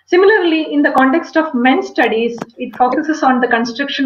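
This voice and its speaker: A woman's voice is heard with audible room echo. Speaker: literature academic. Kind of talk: lecture. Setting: video call. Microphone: webcam.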